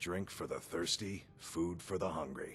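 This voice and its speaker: Over clear music in the background, a man puts on a raspy character voice with a very deep, low pitch in the act, talking at a moderate pace. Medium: video game. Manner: blunt, terse.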